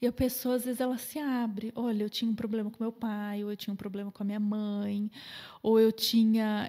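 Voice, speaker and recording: The tone is dark and mellow, delivered in a flat monotone. The pace is fairly quick. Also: woman, fairly high pitch for a woman. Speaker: nutritionist. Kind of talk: podcast interview. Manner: fast.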